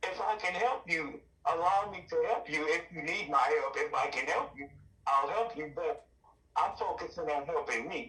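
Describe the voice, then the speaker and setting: With an Arkansas accent, a man speaks at a moderate pace in a high pitch and lively intonation. Noticeable background noise sits behind him. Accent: Southern US (Arkansas). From Arkansas, US South. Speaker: podcast guest sharing recovery story. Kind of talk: interview testimony. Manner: repetitive, emphatic.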